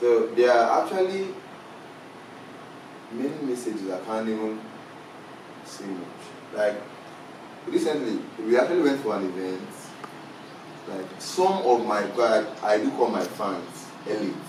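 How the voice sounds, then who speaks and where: Medium-pitched man, lively intonation, fairly slow pace with long, frequent pauses, audible room echo, noticeable background noise. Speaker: musician. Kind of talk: interview.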